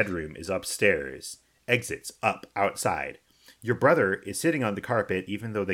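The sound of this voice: Here is an unforced reading voice. The pitch variation is ordinary.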